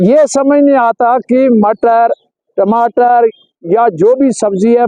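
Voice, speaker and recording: This is a man speaking. His pitch is extremely high. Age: 80s+. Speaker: local resident. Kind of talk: street interview.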